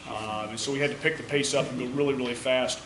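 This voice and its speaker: Noticeable background noise and audible room echo fill the recording. A man speaks fairly quickly within it. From US South. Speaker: military officer. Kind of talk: award speech. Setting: school hall with audience.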